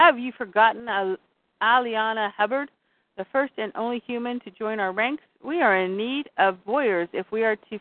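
Over quiet surroundings, someone reads in an unforced voice whose pitch varies an ordinary amount.

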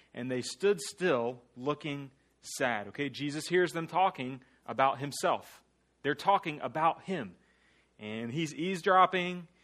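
A man with an American accent speaks in an ordinary speaking voice at a fairly slow pace, his intonation lively, on a very clean recording with a silent background. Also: fairly high pitch for a man. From US South, small-town central Florida. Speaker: guest preacher. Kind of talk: sermon. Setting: church.

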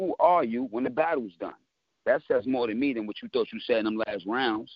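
Using a normal speaking voice, a man talks at a fairly quick pace and medium pitch. His intonation is lively. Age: 30s. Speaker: battle rapper. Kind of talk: casual interview.

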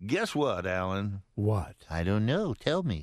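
A man with an ordinary speaking voice talks at a fairly slow pace with lively intonation, the sound dry and close with no echo. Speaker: radio host. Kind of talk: live radio DJ patter, upbeat and bantering, with stock sign-offs. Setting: radio studio broadcast.

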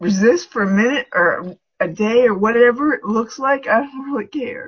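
In an unremarkable speaking voice, this woman keeps a moderate pace. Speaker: class participant.

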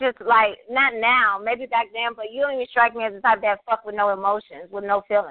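Using ordinary pitch variation, a woman talks at a moderate pace in a fairly high voice. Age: 30s. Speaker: caller. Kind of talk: casual chat.

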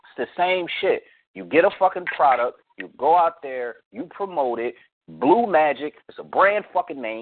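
The delivery is animated, with lively intonation. The pace is fairly slow. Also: man. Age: 30s. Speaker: music producer and podcast host. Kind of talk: casual chat.

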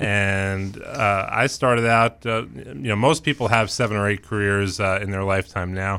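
An unremarkable speaking voice from a man with an American accent, fairly low in pitch, with ordinary pitch variation, a moderate pace and hardly any pauses, on a very clean recording with a silent background. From New York City (Queens). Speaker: university president. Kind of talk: radio interview.

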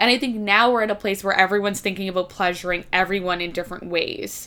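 A woman's medium-pitched voice, bright and sharp in tone, with an American accent. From US East Coast. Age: 20s. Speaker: podcast guest. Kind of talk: casual chat.

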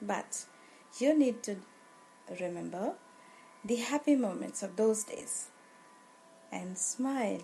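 At a very slow pace with long, frequent pauses, a woman speaks in an Indian accent at a fairly high pitch, her somewhat breathy voice carrying a dark, mellow, soothing, calm tone, lively intonation and big swings in loudness. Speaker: yoga teacher. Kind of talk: guided meditation. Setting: live webinar. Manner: slow, soothing, calm.

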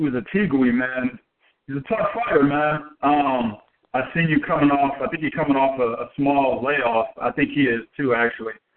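At a moderate pace, a man with fairly high pitch uses an unremarkable speaking voice. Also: ordinary pitch variation. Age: 30s. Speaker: boxing podcast co-host. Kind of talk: casual chat.

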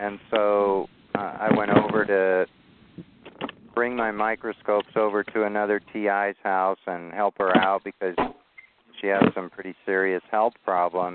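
At a fairly slow pace, the voice has a clear, smooth tone with little pitch movement, in a dry, close sound with no echo. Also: man, fairly low pitch for a man.

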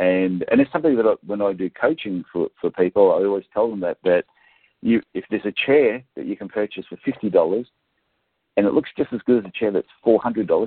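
A man talks at a fairly quick pace with an Australian accent. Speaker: podiatrist and business coach. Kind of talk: interview.

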